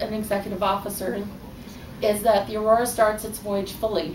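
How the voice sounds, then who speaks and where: Noticeable background noise sits behind a woman at medium pitch. She speaks fairly slowly with monotone, flat intonation. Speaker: fan club officer and ship's counselor. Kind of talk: ceremony speech. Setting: live event hall.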